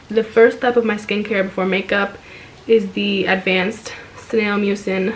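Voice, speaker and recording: Light background noise sits behind a woman speaking at a fairly slow pace. Her intonation is flat and monotone. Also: medium pitch for a woman. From Dominican-American, New Jersey. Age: 20s. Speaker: beauty content creator. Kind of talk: makeup tutorial voiceover. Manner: casual, friendly. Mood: relaxed, friendly. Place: home room. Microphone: phone near.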